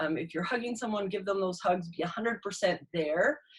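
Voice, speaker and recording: A woman speaks at a medium pitch with a somewhat breathy quality. Her intonation is lively. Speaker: inspirational speaker and mentor. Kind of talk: live motivational talk. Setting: live stream on Zoom and Facebook. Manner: fast.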